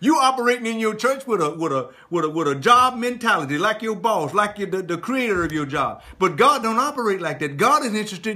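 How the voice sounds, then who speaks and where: A man with a high pitch talks in a raised, projected voice at a fairly quick pace, with very wide pitch swings and hardly any pauses. Noticeable background noise is present. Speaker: pastor, church preacher. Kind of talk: live sermon, preaching to congregation. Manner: emphatic, passionate.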